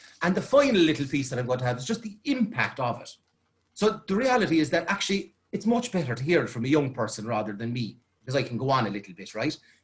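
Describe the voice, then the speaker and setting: Talking at a very fast pace, a man uses a fairly high, somewhat breathy voice. His pitch swings very widely. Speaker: youth worker. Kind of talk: presentation.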